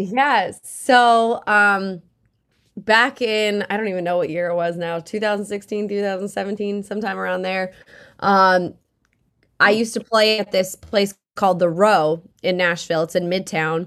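Speaking with an American accent, a woman keeps a fairly slow pace and fairly even intonation. The recording is very clean, with a silent background. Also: medium pitch for a woman. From Massachusetts, South Shore. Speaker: country singer-songwriter. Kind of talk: casual interview.

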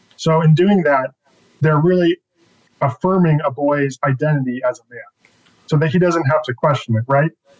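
Dry, close sound with no echo carries a man's fairly high, somewhat breathy voice. He speaks with an American accent at a moderate pace. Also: ordinary pitch variation. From Northern California, Bay Area. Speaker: author. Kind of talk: interview.

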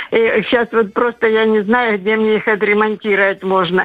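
A woman speaks at a moderate pace in a fairly high voice. Her intonation is monotone and flat. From southern Russia, Kuban. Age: 80s+. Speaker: caller. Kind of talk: casual chat. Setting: phone call.

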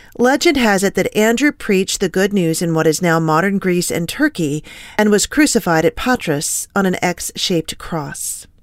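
A woman's normal speaking voice at medium pitch, moderate pace and lively intonation, with hardly any pauses, dry and close with no echo. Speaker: news anchor. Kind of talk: newscast reading. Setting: broadcast from ranch studio. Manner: formal, steady, professional news-anchor delivery.

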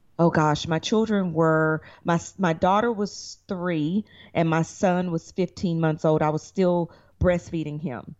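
Speaking in a Southern US accent, a woman keeps a fairly low pitch, a fairly slow pace and fairly even intonation. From Tennessee, Chattanooga. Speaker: lawyer, actress and reality show producer. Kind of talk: interview. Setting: remote call.

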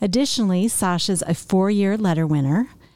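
A woman with an ordinary speaking voice talks at a moderate pace, her medium pitch showing ordinary variation. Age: 50s. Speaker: podcast host. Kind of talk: casual chat; reading aloud.

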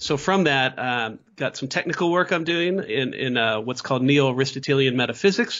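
Medium-pitched man with a Midwestern American accent, moderate pace, ordinary pitch variation and hardly any pauses. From US Midwest. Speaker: philosophy professor. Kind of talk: interview.

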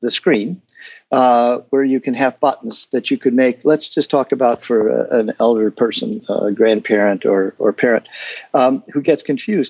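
A man has a normal speaking voice with lively intonation. He talks at a moderate pace. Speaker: guest discussing an accessibility software project. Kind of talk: interview answers.

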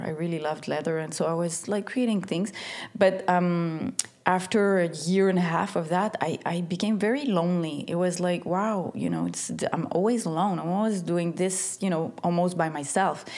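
Over noticeable background noise, a woman with a Quebec accent speaks at a moderate pace in a fairly low pitch with fairly even intonation. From Quebec, Montreal. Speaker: stylist and creative director. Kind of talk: interview. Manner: halting, many fillers and repeats.

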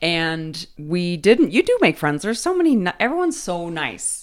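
A woman speaks in an unremarkable speaking voice, fairly low in pitch, with lively intonation at a moderate pace. The recording is very clean, with a silent background. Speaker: podcast co-host and counselor. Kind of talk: casual chat. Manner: chatty, overlapping banter.

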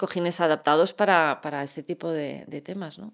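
In a very clean recording with a silent background, a woman speaks at a moderate pace in a very deep, low voice. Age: 40s. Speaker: chronic pain patient and medical cannabis advocate. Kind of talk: interview.

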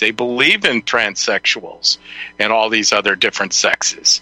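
Fairly slow speech comes through in a dry, close sound with no echo, with noticeable background noise. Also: man. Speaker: radio host. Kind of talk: casual chat.

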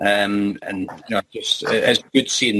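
A man with a Scottish accent and a bright, sharp tone. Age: 40s. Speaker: recovery group member. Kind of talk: group discussion on video call. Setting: video call.

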